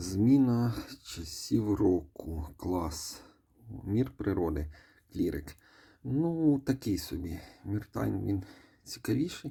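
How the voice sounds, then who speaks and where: A man speaks very slowly in a fairly low, somewhat breathy voice with a dark, mellow tone. His pitch swings very widely, and he leaves long, frequent pauses. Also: very clean recording, silent background. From Ukraine. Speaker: mobile game reviewer. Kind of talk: gaming commentary. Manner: casual, with filler hesitations.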